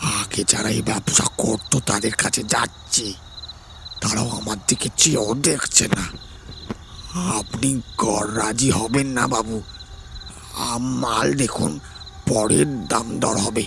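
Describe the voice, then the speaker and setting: Doing a put-on character voice, a man speaks at a fairly slow pace and medium pitch over clear background noise. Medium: audio drama. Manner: forceful, guarded.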